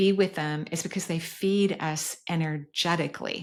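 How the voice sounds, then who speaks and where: A woman speaks in an ordinary speaking voice at a fairly slow pace. Her pitch sits fairly low. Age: 60s. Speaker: energy healer and podcast host. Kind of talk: podcast Q&A answering voicemail questions.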